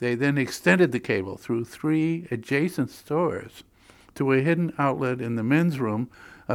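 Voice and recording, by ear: Reading aloud in a natural voice, the speaker keeps the pitch variation ordinary.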